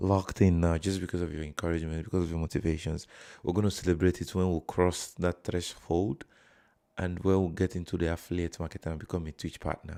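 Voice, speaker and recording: Fairly quick in pace, a man talks with a very deep, low pitch, a dark, mellow tone and fairly even intonation. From Nigeria. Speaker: live streamer. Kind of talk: casual live stream chat.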